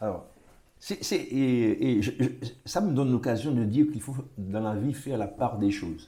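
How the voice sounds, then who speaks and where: Speaking at a moderate pace with long, frequent pauses, a man uses lively intonation at a medium pitch, his tone dark, mellow and somewhat breathy. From Martinique. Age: 60s. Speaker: retired tourism official. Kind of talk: interview. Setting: at home. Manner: halting, many repetitions.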